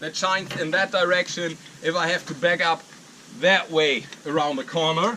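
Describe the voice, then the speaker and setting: In a German accent, a man speaks at a moderate pace over noticeable background noise. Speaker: arborist and YouTuber. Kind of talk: vlog walkthrough. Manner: halting.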